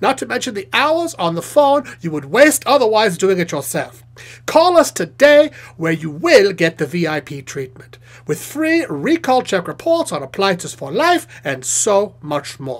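Using a put-on character voice at a middle pitch, the speaker moves at a moderate pace with very wide pitch swings. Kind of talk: TV commercial read. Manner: upbeat, salesy.

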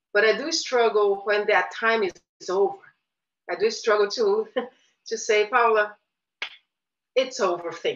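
Speaking slowly-ish with long, frequent pauses, a woman uses a fairly high pitch and ordinary pitch variation. She has a Portuguese accent. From Brazil, Rio de Janeiro. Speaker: visual artist. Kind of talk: interview. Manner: hesitant, many fillers. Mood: thoughtful, reflective. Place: home room. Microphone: webcam.

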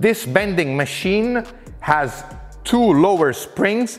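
A man's very slow speech over faint background music. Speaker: workshop tool reviewer. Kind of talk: tutorial. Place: garage. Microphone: lapel.

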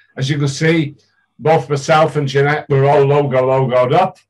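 Against a quiet background, a somewhat breathy voice speaks at a moderate pace with monotone, flat intonation. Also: man. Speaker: interviewer, diet group leader. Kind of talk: casual interview talk. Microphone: video call.

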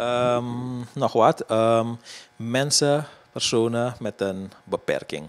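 At a very slow pace, a man with a medium pitch speaks with ordinary pitch variation. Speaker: interviewer. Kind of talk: interview.

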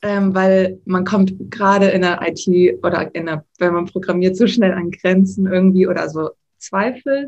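Somewhat breathy, a woman talks at a fairly slow pace. Her pitch is medium. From Hamburg, northern Germany; Germany. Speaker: frontend developer; interviewee. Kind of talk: interview. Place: home room. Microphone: video call.

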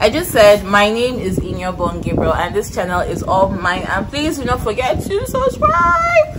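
A woman talks at a moderate pace with hardly any pauses. Loud background noise surrounds her. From Nigeria, Kaduna State (north). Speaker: guest on a YouTube channel. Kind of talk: casual chat. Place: garden. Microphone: phone near.

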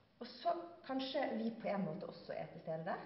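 Strong room echo surrounds a woman whose fairly high voice moves in big pitch swings.

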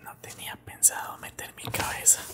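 A man whispers softly at a moderate pace. Loud background noise fills the recording. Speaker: content creator. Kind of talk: casual ASMR-style chat. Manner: soft ASMR whisper close to mic. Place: home room. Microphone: studio mic.

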